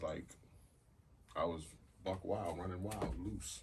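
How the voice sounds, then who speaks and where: A man speaks at a fairly slow pace. Room echo can be heard around his voice. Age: 40s. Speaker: podcast host. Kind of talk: casual chat.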